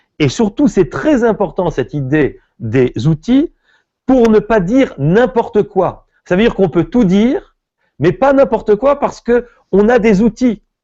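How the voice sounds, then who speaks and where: Keeping his loudness very even, a man with a high-pitched voice talks at a fairly slow pace. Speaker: rabbi and philosopher teaching Talmud. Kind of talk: lecture. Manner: animated, with hesitations.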